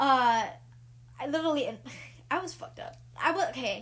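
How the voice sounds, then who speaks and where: A woman speaks in an animated tone. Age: 20s. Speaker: podcast host. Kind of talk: casual chat.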